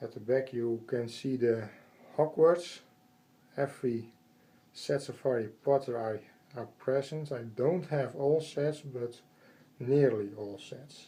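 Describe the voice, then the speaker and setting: Somewhat breathy and dark, mellow in tone, a man with a Dutch accent and medium pitch speaks at a fairly slow pace. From Netherlands. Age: 30s. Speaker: Lego train collector. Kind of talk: casual home video tour. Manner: hesitant, halting.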